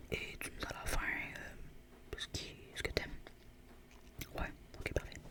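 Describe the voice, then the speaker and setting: Whispering very slowly with long, frequent pauses, the voice comes through noticeable background noise. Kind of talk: ASMR roleplay as a squishy shop seller talking to a customer.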